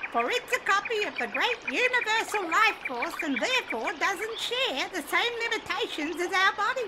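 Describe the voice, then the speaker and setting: An extremely high-pitched put-on character voice at a moderate pace, over loud background noise. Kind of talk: audiobook narration with character voices. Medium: audio drama.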